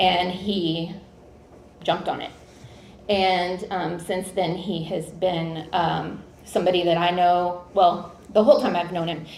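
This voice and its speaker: Her medium-pitched voice holds fairly even intonation as the woman speaks fairly slowly. The room echo is audible. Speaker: college administrator presenting an award. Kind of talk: award presentation speech. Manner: loud.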